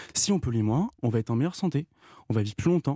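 A man speaks with lively intonation in a dry, close sound with no echo. The recording is very clean, with a silent background. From Normandy, France. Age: 40s. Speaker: climate activist. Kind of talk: radio interview.

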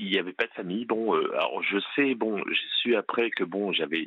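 A man talks with lively intonation. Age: 50s. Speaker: police officer. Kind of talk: testimony.

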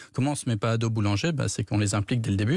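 A man speaks at a medium pitch with ordinary pitch variation and a somewhat breathy voice. The sound is dry and close with no echo, over a quiet background. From France, Dordogne (childhood in Burkina Faso). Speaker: entrepreneur, startup founder. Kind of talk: radio interview.

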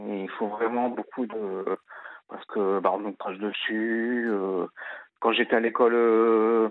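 A man's voice with monotone, flat intonation. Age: 30s. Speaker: radio caller. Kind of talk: phone-in testimony. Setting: phone call. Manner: halting.

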